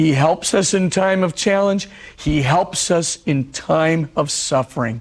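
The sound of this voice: Slow and husky, a man speaks at a fairly high pitch with ordinary pitch variation.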